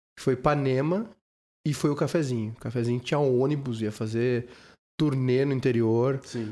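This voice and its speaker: A man speaks at a moderate pace with a dark, mellow tone, medium pitch and fairly even intonation. The recording is very clean, with a silent background. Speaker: podcast host and radio presenter. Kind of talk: casual chat. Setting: drinking wine during recorded podcast.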